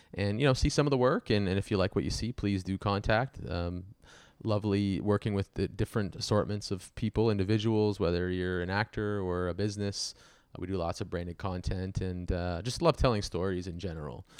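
A man speaks at a fairly quick pace. The sound is dry and close with no echo, over a quiet background. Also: ordinary pitch variation. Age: 30s. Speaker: film producer and director. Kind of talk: casual chat. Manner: halting.

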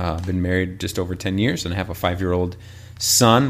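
Speaking with an American accent at a fairly quick pace, a man's very deep, low voice carries audible room echo. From northern Illinois, rural. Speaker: pastor. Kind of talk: personal testimony interview.

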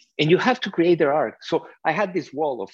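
Against a quiet background, a man with a non-native accent speaks at a moderate pace. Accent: foreign-accented English. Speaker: cinematographer. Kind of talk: panel Q&A interview. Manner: animated.

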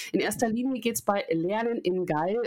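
A woman with an ordinary speaking voice talks at a moderate pace with lively intonation on a very clean recording with a silent background. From Munich, Bavaria. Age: 30s. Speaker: learning and development consultant, former TV presenter. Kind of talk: podcast interview.

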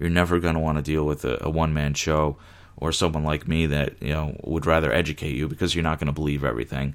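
Over a silent background on a very clean recording, a man with an American accent speaks very fast in a very deep, low voice, his intonation monotone and flat and his loudness very even. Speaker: podcast host, digital marketer. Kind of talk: solo podcast monologue.

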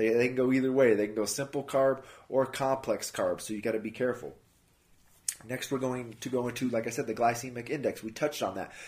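A plain, everyday voice moves at a fairly quick pace in a very clean recording with a silent background. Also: man. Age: 30s. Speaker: fitness and nutrition podcast host. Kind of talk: solo podcast talk on nutrition. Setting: house sitting at a friend's home. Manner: casual, conversational.

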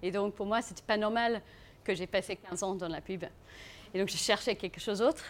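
At a moderate pace with long, frequent pauses, a woman speaks at a medium pitch with fairly even intonation. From South Africa. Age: 30s. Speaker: aspiring farmer, former advertising worker. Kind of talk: live talk to an audience. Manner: non-native, halting French.

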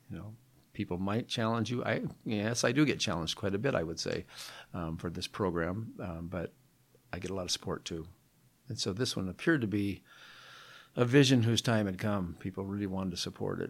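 A man with an American accent and fairly low pitch, at a fairly quick pace broken by long, frequent pauses, on a very clean recording with a silent background. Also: ordinary pitch variation. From Seattle, US Pacific Northwest. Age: 60s. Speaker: retired volunteer building tiny homes. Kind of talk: interview.

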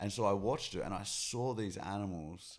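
In a very clean recording with a silent background, a man speaks fairly slowly in a fairly low voice with lively intonation. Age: 30s. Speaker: animal rights activist. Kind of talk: casual chat. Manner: approachable, calm.

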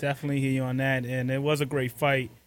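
Recorded very cleanly against a silent background, a man of medium pitch talks at a very fast pace. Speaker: radio host. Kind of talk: live radio show. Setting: studio.

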